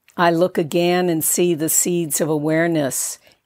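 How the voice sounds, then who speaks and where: In an ordinary speaking voice, a woman talks at a fairly slow pace with fairly low pitch and fairly even intonation. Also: very clean recording, silent background. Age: 60s. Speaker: author. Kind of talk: scripted narration.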